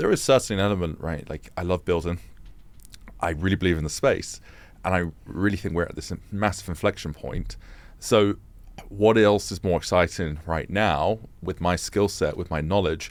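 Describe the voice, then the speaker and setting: A man speaks with a London accent in a very deep, low pitch with ordinary variation. The pace is moderate, and the recording is very clean with a silent background. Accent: British (London). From England (London). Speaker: fintech founder and CEO. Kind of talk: interview conversation. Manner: conversational with frequent hesitations and restarts.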